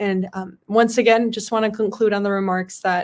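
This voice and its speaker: In a very clean recording with a silent background, a woman speaks at a fairly quick pace with a medium pitch and a monotone, flat delivery. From US Midwest (Palatine, Illinois). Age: 20s. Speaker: state legislator. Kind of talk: motivational talk and Q&A.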